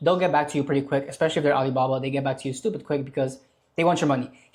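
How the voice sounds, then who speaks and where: A man's somewhat breathy voice, its pitch variation ordinary. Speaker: online business creator. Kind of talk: tutorial. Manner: fast; casual.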